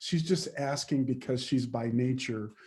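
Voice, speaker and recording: A man speaks at a fairly slow pace. His voice is somewhat breathy, with a dark, mellow tone. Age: 50s. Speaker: leadership coach and diversity speaker. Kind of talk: webinar Q&A answer. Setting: video call. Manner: conversational, with frequent fillers and repetitions.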